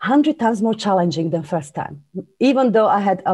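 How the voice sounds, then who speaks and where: A woman with a Slovak accent speaks in a dark, mellow tone. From Slovakia. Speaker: business coach and author. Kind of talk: interview.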